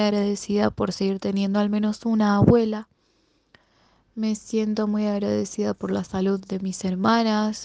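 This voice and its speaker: Her voice has a dark, mellow tone, and this woman speaks at a fairly slow pace with monotone, flat intonation. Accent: Rioplatense. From Buenos Aires, Argentina. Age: 20s. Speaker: secondary school language and literature teacher. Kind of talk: recorded personal answers to interview questions.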